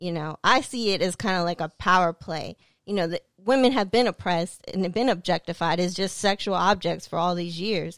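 A woman with an unremarkable speaking voice talks at a fairly quick pace with ordinary pitch variation, the sound dry and close with no echo on a very clean recording with a silent background. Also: fairly low pitch for a woman. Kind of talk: heated debate.

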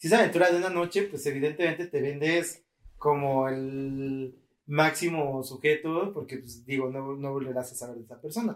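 In a Mexican accent, a man talks at a moderate pace with a fairly high pitch and big swings in loudness. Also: ordinary pitch variation. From Mexico. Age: 30s. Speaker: podcast host. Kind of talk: casual chat.

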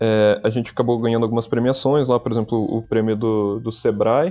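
Flat, monotone intonation in a man's medium-pitched speech. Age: 20s. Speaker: game designer. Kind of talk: interview. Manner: halting, frequent repetitions.

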